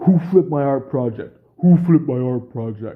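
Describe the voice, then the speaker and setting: A man talks in a put-on character voice at a fairly high pitch and a moderate pace. His loudness swings widely, and his pitch varies in an ordinary way. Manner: demanding, angry.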